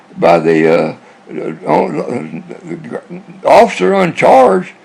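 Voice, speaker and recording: A man speaks with noticeable background noise behind him. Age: 80s+. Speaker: navy veteran telling life stories. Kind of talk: personal reminiscence monologue. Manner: rambling, halting with repetitions.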